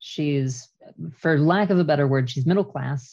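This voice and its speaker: A woman speaks with a Canadian accent. Her voice is very deep and low, with ordinary pitch variation. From Canada. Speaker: traveler and podcast team member. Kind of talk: casual chat.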